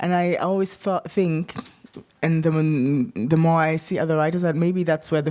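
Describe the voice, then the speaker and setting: A woman with a German accent, fairly low in pitch, at a moderate pace with fairly even intonation. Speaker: writer. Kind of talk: panel discussion. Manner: halting.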